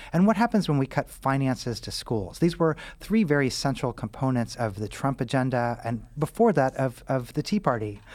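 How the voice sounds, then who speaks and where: A man with an ordinary speaking voice and an American accent talks at a moderate pace with hardly any pauses. His pitch is medium and his intonation lively. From Missouri, US Midwest. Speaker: author, physician and professor. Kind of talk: interview.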